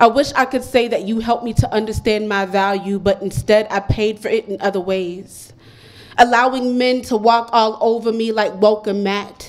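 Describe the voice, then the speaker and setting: At a moderate pace, a woman with a fairly high pitch and a normal speaking voice talks with fairly even intonation. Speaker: poet performing open mic. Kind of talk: poet spoken word, confessional love poem with punchy wordplay, heartfelt and steady. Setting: stage with live audience at poetry cafe.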